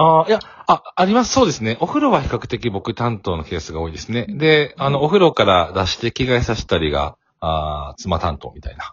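Vocal fry marks this man's medium-pitched voice as it swings very widely in pitch at a fairly quick pace. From Kansai, Kobe. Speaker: corporate sales worker and working father. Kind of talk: casual interview.

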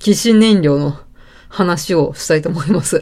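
This woman has an unremarkable speaking voice, fairly low in pitch with ordinary variation. She speaks at a fairly slow pace, and the recording is very clean with a silent background. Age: 30s. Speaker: podcaster, office worker. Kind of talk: casual solo talk. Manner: relaxed, many fillers.

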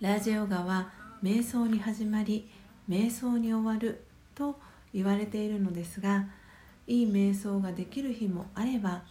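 Somewhat breathy, a woman speaks with a fairly high pitch. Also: fairly even intonation, fairly slow pace. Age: 30s. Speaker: podcast host and meditation guide. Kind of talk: guided meditation; solo morning radio talk. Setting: home.

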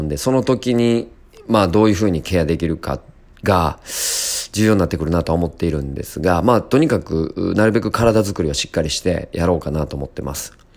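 Very deep and low, a man's voice moves at a very fast pace with lively intonation. Noticeable background noise is present. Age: 30s. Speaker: music producer and podcaster. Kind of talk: casual solo monologue.

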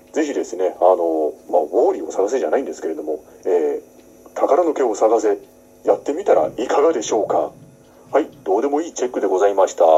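Loudness swinging in big jumps, the man rattles along at a very fast pace. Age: 40s. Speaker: actor hosting a solo talk podcast. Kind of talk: casual solo talk. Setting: home room used as makeshift studio. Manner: many fillers and hesitations; polite, slightly formal phrasing.

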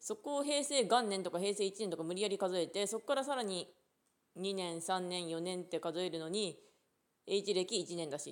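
A woman speaks at a medium pitch. Her intonation is lively and her pace moderate. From Japan, Ishikawa. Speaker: podcaster. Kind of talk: casual chat. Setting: outdoors at a rural unmanned train station.

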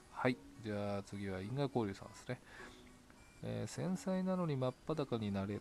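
Music plays in the background as a man speaks with long, frequent pauses. His pitch swings very widely. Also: medium pitch for a man, moderate pace. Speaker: solo podcaster reading blog comments. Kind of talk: casual solo talk, reading and answering comments. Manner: frequent laughter.

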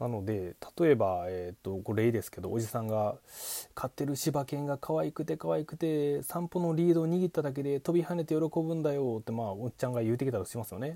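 Very wide pitch swings in a man's dark, mellow voice. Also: fairly high pitch for a man, fairly quick pace, very clean recording, silent background. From Japan, Kochi Prefecture. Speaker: podcast host, former call center worker, musician. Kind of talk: solo monologue talk. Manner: many filler words.

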